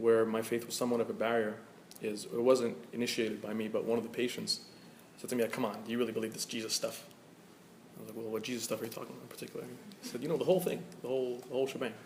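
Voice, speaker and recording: A man talks at a very fast pace, medium in pitch, with fairly even intonation. Noticeable background noise and audible room echo are present. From Egypt. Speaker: physician. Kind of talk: panel discussion.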